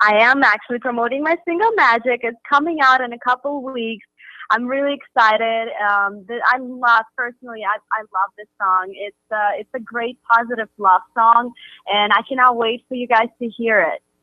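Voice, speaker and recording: With a slight Russian accent, the voice has a bright, sharp tone and a dry, close sound with no echo, moving at a moderate pace with ordinary pitch variation and big swings in loudness. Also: woman, fairly high pitch for a woman. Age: young. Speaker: pop singer. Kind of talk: radio interview. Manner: halting.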